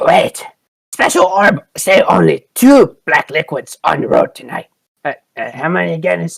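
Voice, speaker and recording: This put-on character voice comes out raspy. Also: moderate pace. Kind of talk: broken grammar. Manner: puzzled, counting on fingers.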